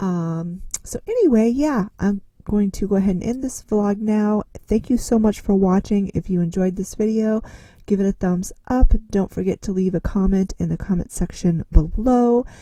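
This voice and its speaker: A woman's somewhat breathy, medium-pitched voice at a moderate pace, with ordinary pitch variation. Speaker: lifestyle vlogger. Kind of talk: casual vlog talk to camera. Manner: hesitant, many fillers.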